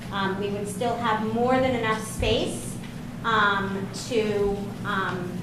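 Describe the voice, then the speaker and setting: Amid noticeable background noise and audible room echo, a woman speaks at a fairly high pitch with fairly even intonation. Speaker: special education director. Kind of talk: meeting presentation. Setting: school board meeting.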